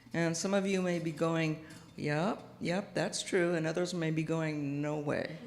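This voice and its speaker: This voice keeps a very even loudness and a monotone, flat intonation at a fairly slow pace, with an American accent. Audible room echo surrounds it. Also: woman, fairly low pitch for a woman. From US Pacific Northwest, Seattle. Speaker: guest minister. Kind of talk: sermon. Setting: church with audience, PA system. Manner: soft-spoken; halting, with many fillers.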